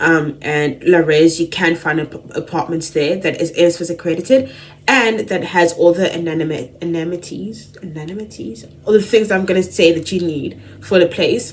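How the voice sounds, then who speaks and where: This woman's voice is fairly low, with ordinary pitch variation at a moderate pace. Noticeable background noise is present. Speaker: student vlogger. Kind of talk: casual vlog talk. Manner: chatty, filler-heavy.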